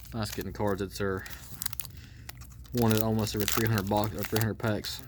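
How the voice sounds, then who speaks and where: A man with a strong Georgia accent and a fairly low pitch, fairly even intonation and a fairly quick pace, against noticeable background noise. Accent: thick Georgia Southern. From Georgia, US South. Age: adult. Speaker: card collector YouTuber. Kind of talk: casual card-break commentary. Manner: fast.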